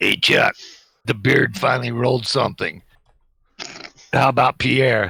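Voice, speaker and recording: A man puts on a raspy character voice at medium pitch, speaking at a moderate pace with fairly even intonation. His loudness stays very even, and he pauses long and often. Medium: actual play. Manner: mocking, wisecracking.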